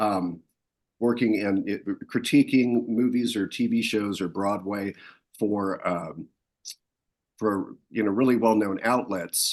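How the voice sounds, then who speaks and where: A man is talking. His pace is fairly slow. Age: 60s. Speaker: founder of an entertainment critics' society. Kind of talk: casual interview. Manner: halting, many fillers.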